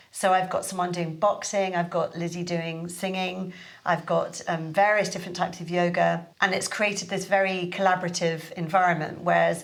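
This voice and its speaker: In a room with audible echo, a woman speaks at a moderate pace with hardly any pauses, her fairly low voice held in monotone, flat intonation. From London. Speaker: Pilates teacher and studio owner. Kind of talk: podcast interview. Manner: hesitant, many fillers.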